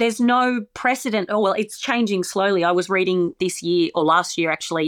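In a very clean recording with a silent background and a dry, close sound with no echo, a woman with an Australian accent talks at medium pitch with ordinary pitch variation. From Australia, small town. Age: 40s. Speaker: comedian. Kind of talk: casual chat.

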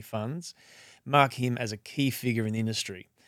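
A man's plain, everyday voice at a medium pitch, with ordinary pitch variation and a fairly quick pace, in a very clean recording over a silent background. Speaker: podcast host. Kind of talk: interview, scripted intro.

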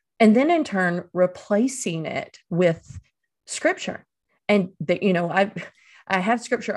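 A woman with an Eastern North Carolina accent speaks at a moderate pace and medium pitch, with ordinary pitch variation against a quiet background. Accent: Southern US (Eastern North Carolina). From Eastern North Carolina, US South. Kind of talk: interview.

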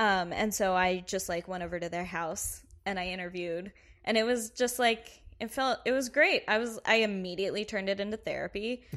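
A woman's ordinary speaking voice in an American accent, medium in pitch with ordinary pitch variation and a fairly quick pace, in a very clean recording with a silent background. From US South, Kentucky. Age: 20s. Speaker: comedy writer. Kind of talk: casual chat.

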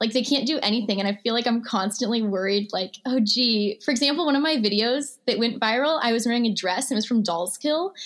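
A very fast woman's voice with an American accent, fairly high in pitch, with ordinary pitch variation, very even loudness and hardly any pauses. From rural Missouri (early childhood in Houston, Texas). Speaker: social media creator. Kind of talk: casual chat.

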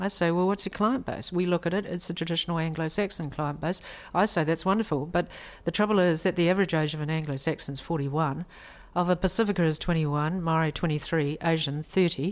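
Speaking very fast with a New Zealand accent, a woman uses fairly even intonation at a fairly low pitch, and the recording is very clean with a silent background. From New Zealand, raised in Taiwanese household. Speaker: lawyer. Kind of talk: interview.

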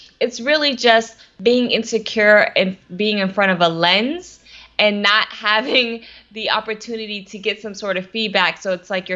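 A woman with an American accent uses a plain, everyday voice, fairly high in pitch, at a moderate pace with ordinary pitch variation. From US South, Atlanta, Georgia. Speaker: social media strategist. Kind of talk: interview. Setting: live video stream.

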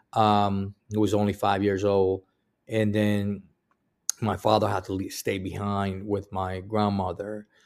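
Speaking fairly slowly in a monotone, flat delivery, a man with a fairly low pitch comes through on a very clean recording with a silent background. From Cuba. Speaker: Marine veteran. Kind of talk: interview. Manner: halting, many fillers.

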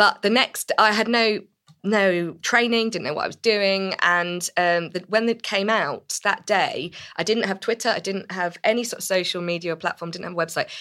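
Her tone bright and sharp, a woman talks at a moderate pace. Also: medium pitch for a woman, ordinary pitch variation. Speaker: art historian and broadcaster. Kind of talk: panel discussion.

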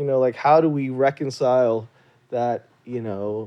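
A man speaks with an American accent at medium pitch and a moderate pace. His fairly even intonation comes in a normal speaking voice. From US South, Louisiana. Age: 40s. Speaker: doctor, anesthesiologist. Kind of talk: casual interview.

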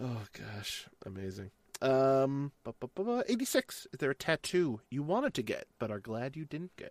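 With lively intonation, a man uses a normal speaking voice in a very clean recording with a silent background and a dry, close sound with no echo. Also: medium pitch for a man. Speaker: interviewer. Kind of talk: casual interview.

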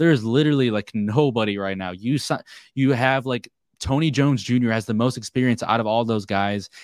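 In a very clean recording with a silent background and a dry, close sound with no echo, a man with medium pitch and an unremarkable speaking voice talks at a fairly quick pace with ordinary pitch variation. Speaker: sports podcast host. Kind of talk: casual sports discussion podcast.

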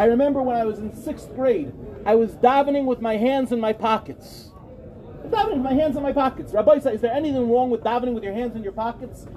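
A man with an American accent talks at a very fast pace, his pitch extremely high for a man with ordinary variation. Noticeable background noise runs under his voice. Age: 40s. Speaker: rabbi. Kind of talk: lecture.

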